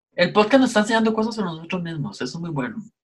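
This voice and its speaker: This man's voice comes across as somewhat breathy. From Costa Rica. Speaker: podcast co-host. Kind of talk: casual chat.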